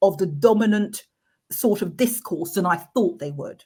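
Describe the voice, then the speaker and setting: A somewhat breathy woman at a fairly high pitch with very wide pitch swings, on a very clean recording with a silent background. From Manchester, northern England. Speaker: equality and diversity expert, councillor. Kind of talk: interview. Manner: some stammering and repeated words.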